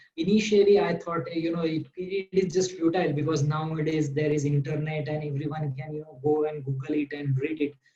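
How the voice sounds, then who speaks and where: A man with a Marathi accent talks at a fairly quick pace and fairly high pitch, keeping his intonation fairly even. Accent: Indian English, Marathi. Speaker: doctor. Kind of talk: interview. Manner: halting, many fillers.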